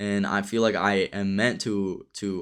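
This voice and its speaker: A man with a fairly low voice speaks in a flat monotone, recorded very cleanly against a silent background. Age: 20s. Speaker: day trader and trading streamer. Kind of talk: live stream commentary. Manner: casual.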